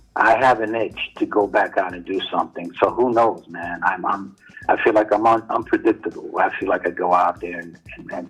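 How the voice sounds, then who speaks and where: With music in the background, a man with a New York accent speaks at a moderate pace with big swings in loudness. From New York City (Harlem). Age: 60s. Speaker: graffiti writer. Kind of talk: interview. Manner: halting, repeats words.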